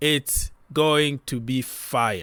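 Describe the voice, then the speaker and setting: A man speaks with a non-native accent on a very clean recording with a silent background. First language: not English. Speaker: football YouTuber. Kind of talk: casual commentary video. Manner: animated.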